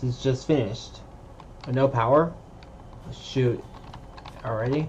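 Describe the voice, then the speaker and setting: Quiet and at a fairly slow pace, a man speaks at a medium pitch with fairly even intonation. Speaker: gaming video creator. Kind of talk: gameplay commentary. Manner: halting, repeats words.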